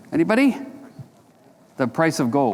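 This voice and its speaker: A man's voice carries audible room echo. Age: 60s. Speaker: precious metals analyst. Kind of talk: conference Q&A. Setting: stage with audience. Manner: casual, conversational.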